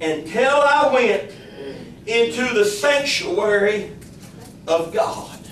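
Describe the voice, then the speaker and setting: Against noticeable background noise, a man with a high pitch talks at a very slow pace with long, frequent pauses. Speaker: pastor. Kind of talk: sermon, fervent Pentecostal-style preaching with congregational call-and-response. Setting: church service held in a kitchen. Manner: impassioned and rhythmic, building with repeated declarations; exclamatory, punctuated by shouts of Glory and Amen.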